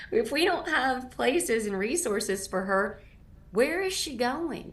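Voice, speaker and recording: Audible room echo surrounds a woman speaking high and fairly slowly, her pitch swinging very widely. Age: 60s. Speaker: nonprofit founder and anti-trafficking advocate. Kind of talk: interview.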